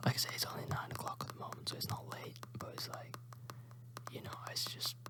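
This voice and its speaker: Someone whispers at a fairly quick pace with a British accent, with noticeable background noise. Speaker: ASMR YouTuber and streamer. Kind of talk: ASMR whispered chat. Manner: whispering.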